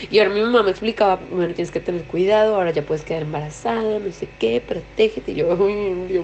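Over noticeable background noise, a woman speaks very fast with hardly any pauses and ordinary pitch variation. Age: 20s. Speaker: industrial designer. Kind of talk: interview testimony.

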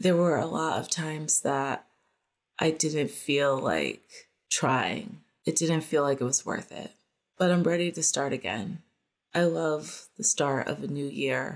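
A woman's very deep, low voice with vocal fry, fairly slow and with ordinary pitch variation, on a very clean recording with a silent background. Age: 40s. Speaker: podcast host and photographer. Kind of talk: personal monologue. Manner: casual, conversational.

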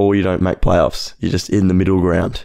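A man with a fairly low pitch and a dark, mellow tone talks at a fairly quick pace with an Australian accent. His intonation is monotone and flat. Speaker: podcast co-host. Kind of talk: casual chat.

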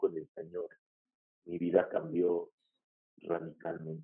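The voice belongs to a man. His delivery is very slow. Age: 40s. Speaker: pastor. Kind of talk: testimony.

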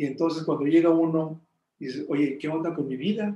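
The man's voice is high, with a dark, mellow tone. His intonation stays fairly even, and his pace is moderate. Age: 60s. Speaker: meditation teacher. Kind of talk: interview. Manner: halting.

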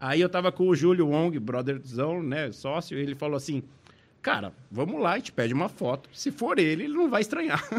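A man talks at a moderate pace in a fairly high pitch with lively intonation. It is a normal speaking voice. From Brazil, São Paulo. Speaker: ventriloquist. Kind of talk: casual chat.

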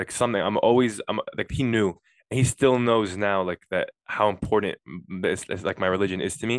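A man's fairly even intonation and moderate speed stand out in a quiet background. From New York. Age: 20s.

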